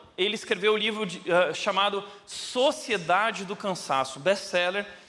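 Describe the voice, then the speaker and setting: A man's raised, projected voice, high-pitched and at a moderate pace, with audible room echo and noticeable background noise. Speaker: pastor. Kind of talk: sermon.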